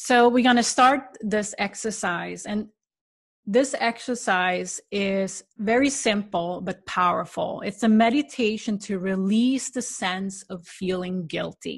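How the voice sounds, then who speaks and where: A woman speaks at a very slow pace, her voice somewhat breathy. Her pitch is medium with ordinary variation, against a quiet background. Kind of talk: guided meditation. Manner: slow, soft, calm and soothing with gentle pauses.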